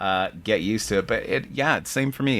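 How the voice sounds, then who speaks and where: A man talks with an American accent. His pace is fairly quick. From US South. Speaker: podcast host. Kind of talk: casual interview chat. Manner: soft-spoken.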